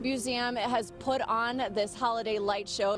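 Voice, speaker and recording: A woman with a fairly high pitch talks while noticeable background noise plays behind her. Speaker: TV news reporter. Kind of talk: TV news reporter stand-up and voiceover. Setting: outdoors, on location. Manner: casual, conversational.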